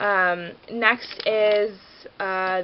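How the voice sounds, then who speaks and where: The woman's intonation stays fairly even as she speaks. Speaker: beauty vlogger. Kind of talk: casual product review. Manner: fast; chatty, filler-heavy.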